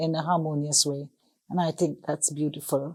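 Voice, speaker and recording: A woman's dark, mellow voice at a moderate pace. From Trinidad and Tobago. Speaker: singer and community elder. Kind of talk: interview answer.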